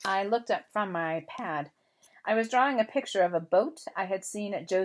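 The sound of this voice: An unforced reading voice is heard here.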